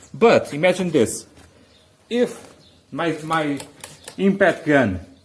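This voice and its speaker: A man with a non-native accent talks at a fairly high pitch, using ordinary pitch variation. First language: not English. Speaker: car repair youtuber. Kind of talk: tutorial. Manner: halting, many restarts.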